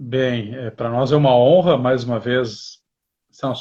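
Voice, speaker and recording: With a medium pitch and somewhat breathy quality, this man speaks in fairly even intonation. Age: 40s. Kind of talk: livestream interview.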